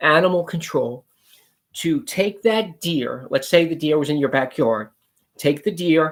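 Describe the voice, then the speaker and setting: An ordinary speaking voice from a man, fairly high in pitch, with lively intonation at a fairly slow pace. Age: 60s. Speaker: pest control business owner. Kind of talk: promotional talk to camera. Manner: casual, conversational.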